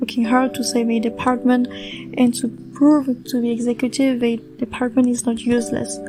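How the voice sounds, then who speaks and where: Over music in the background, a woman talks at a moderate pace in a high pitch with monotone, flat intonation. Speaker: series recap podcaster. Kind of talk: casual spoken TV episode recap.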